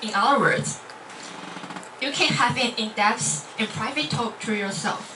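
Speaking at a fairly slow pace with long, frequent pauses, a woman with a Chinese accent shows ordinary pitch variation over noticeable background noise. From Taiwan. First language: Mandarin Chinese. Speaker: university student. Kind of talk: club speech. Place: classroom.

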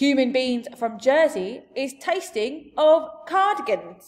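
A woman's put-on character voice, high in pitch with big swings, at a slow pace

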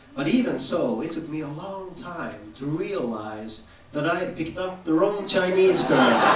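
With a high pitch and very wide pitch swings, a man speaks at a moderate pace amid audible room echo and noticeable background noise. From Sweden. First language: Swedish. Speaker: stand-up comedian. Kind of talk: stand-up comedy set. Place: stage.

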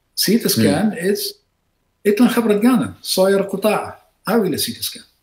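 A man's high-pitched voice at a very slow pace, with audible room echo and light background noise. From Iraq. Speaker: surgeon and professor; professor. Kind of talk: interview. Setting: video call. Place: home room.

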